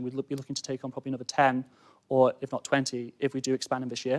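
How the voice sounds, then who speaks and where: Speaking at a very fast pace with a northern English accent, a man holds a medium pitch against a quiet background. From Cheshire, England; England. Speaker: student entrepreneur. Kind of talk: sales pitch. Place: studio. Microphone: lapel.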